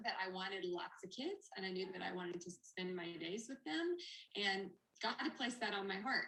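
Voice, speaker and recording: This woman's voice has a bright, sharp tone and lively intonation. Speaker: network marketing ambassador. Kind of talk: testimony. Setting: video call. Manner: fast.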